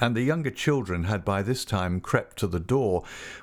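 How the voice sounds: Intonation stays lively throughout the natural reading voice.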